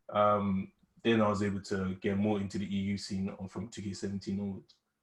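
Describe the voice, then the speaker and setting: A man with a British accent speaks at a fairly low pitch. His intonation is flat and monotone. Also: fairly quick pace. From UK. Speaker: esports gamer. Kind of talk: casual interview.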